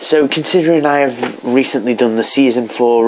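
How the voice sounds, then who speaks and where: Speech at a moderate pace is heard over noticeable background noise. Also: man. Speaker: YouTuber, TV show reviewer. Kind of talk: casual vlog commentary. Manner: halting, many fillers.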